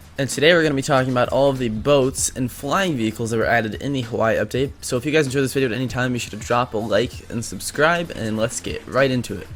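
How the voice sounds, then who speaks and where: Over noticeable background noise, a man speaks at a very fast pace with hardly any pauses. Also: medium pitch for a man, ordinary pitch variation. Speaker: gaming youtuber. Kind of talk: gameplay commentary. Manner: animated.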